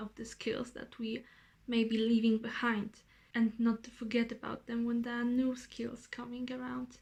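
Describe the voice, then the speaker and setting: A woman with a Polish accent talks at a moderate pace in a fairly high pitch, her loudness swinging widely. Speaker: vlogger. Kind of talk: casual vlog monologue. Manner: rambling.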